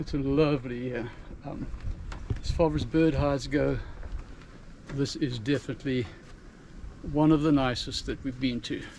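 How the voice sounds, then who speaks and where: Fairly high male voice at a moderate pace, fairly even intonation, long, frequent pauses. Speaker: travel vlogger. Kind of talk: casual travel vlog narration. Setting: outdoors at a bird hide.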